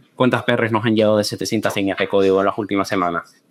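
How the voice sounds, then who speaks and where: A man's fairly low voice with a Canarian accent. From Canary Islands, Tenerife. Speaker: software tech lead, conference speaker. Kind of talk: conference talk. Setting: stage with audience. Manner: hesitant, many fillers.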